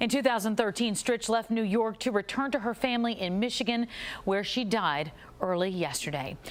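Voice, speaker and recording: The woman has an ordinary speaking voice with a fairly high pitch and lively intonation. Her loudness stays very even at a moderate pace. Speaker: TV entertainment reporter. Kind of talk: TV news obituary narration.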